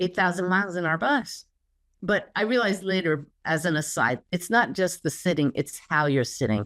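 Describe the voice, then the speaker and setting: Lively in intonation, a woman with an ordinary speaking voice talks at a fairly quick pace and a fairly low pitch, in a very clean recording with a silent background. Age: 60s. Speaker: spiritual teacher and medium. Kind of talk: interview conversation.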